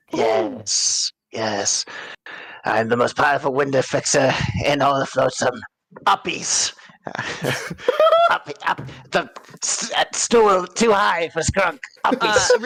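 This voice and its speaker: Someone does a put-on character voice at a low-to-middle pitch, going fairly slowly with long, frequent pauses. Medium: actual play. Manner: refers to himself in third person.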